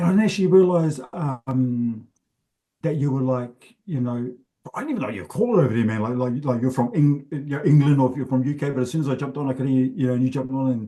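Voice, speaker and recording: A very fast-talking man with a dark, mellow tone, fairly high pitch and ordinary pitch variation. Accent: New Zealand. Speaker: comedian. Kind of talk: casual interview chat. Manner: halting, with many fillers.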